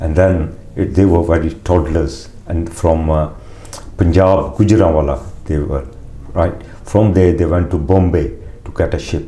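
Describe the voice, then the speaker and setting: Over noticeable background noise and audible room echo, a man with a very deep, low pitch talks at a fairly slow pace with long, frequent pauses and ordinary pitch variation. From Uganda, East Africa (Punjabi family). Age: 60s. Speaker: interviewee telling family migration history. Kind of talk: oral history interview. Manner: halting, with many fillers and restarts.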